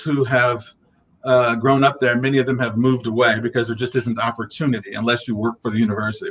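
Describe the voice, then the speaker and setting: An ordinary speaking voice from a man with an American accent, at a medium pitch and a fairly quick pace, with fairly even intonation. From Ohio, US Midwest. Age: 50s. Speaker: arts diversity officer. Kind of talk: interview.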